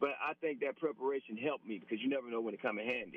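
At a very fast pace, a man speaks in a medium pitch. His pitch variation is ordinary. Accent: Southern US. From Alabama. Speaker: former college quarterback. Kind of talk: radio interview.

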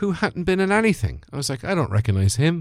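On a very clean recording with a silent background and a dry, close sound with no echo, a man with an Irish Midlands accent speaks with lively intonation. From Ireland, Birr in Offaly. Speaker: comedian. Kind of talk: casual chat.

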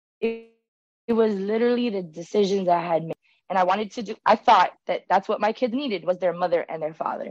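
Music plays in the background as a woman talks at a very fast pace with ordinary pitch variation. The sound is dry and close, with no echo. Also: medium pitch for a woman. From Miami. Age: 30s. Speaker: content creator. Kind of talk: casual chat.

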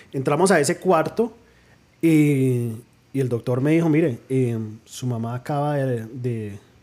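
Very slowly, a man of medium pitch speaks in a dark, mellow tone with ordinary pitch variation. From New Jersey, Colombian parents from Pereira. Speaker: podcast guest. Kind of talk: personal testimony.

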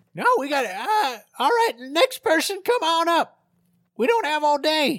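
This is a put-on character voice with a high pitch. It moves at a moderate pace. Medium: actual play. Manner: gruff, folksy.

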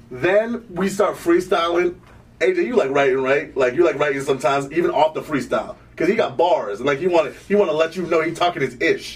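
Noticeable background noise sits behind this man's voice. He talks at a fairly quick pace with a high pitch and ordinary pitch variation. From Sierra Leone, raised in Vermont. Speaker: musician. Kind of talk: casual chat. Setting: studio.

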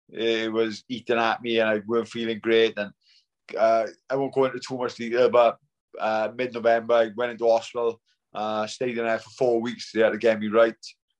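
A man's monotone, flat delivery at a medium pitch and moderate pace, with a South Wales accent. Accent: Welsh (South Wales). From Wales, Swansea. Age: 40s. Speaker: retired professional boxer. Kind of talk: casual interview.

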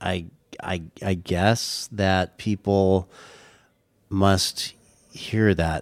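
In a very clean recording with a silent background, a man speaks with an American accent and a very deep, low pitch. The sound is dry and close with no echo, his delivery very slow with monotone, flat intonation. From Southern California, Orange County. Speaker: singer-songwriter. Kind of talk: casual interview chat. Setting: in person, Santa Barbara.

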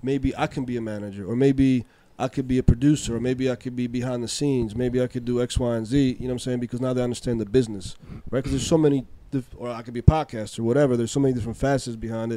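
A man talks at a very fast clip in a medium pitch. His tone is dark and mellow, with flat, monotone intonation. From Europe. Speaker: music business entrepreneur. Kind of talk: casual chat.

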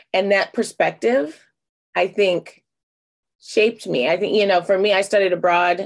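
A woman with an American accent, on a very clean recording with a silent background. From United States. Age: 30s. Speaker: public health scholar and activist. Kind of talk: interview.

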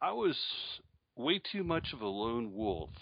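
A man with a slight upstate New York accent speaks with very wide pitch swings. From Charlotte, North Carolina, after early childhood in Syracuse. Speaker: newsletter publisher and entrepreneur. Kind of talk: interview.

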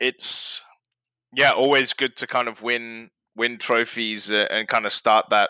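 Flat and monotone, a man speaks at a fairly slow pace and medium pitch, with a dry, close sound and no echo. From Britain. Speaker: football fan guest. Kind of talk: casual chat.

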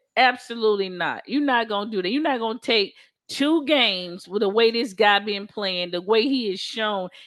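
Pitched fairly high, a woman talks in a plain, everyday voice with ordinary pitch variation. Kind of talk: heated debate. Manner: loud, rapid-fire, argumentative.

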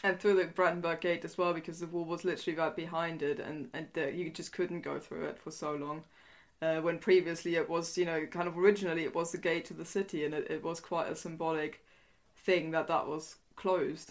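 Against a quiet background, a woman speaks with a German accent at a fairly low pitch. Her intonation is monotone and flat. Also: fairly quick pace. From East Germany. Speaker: historian and author. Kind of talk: interview.

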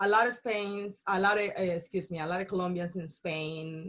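A woman speaks in a somewhat breathy voice. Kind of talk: casual chat. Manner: animated, bubbly, upbeat, chatty.

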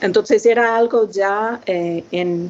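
The pitch varies in an ordinary way. There is noticeable background noise. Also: woman. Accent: English. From United States. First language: English (speaking Spanish). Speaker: linguistics professor. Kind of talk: interview. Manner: halting.

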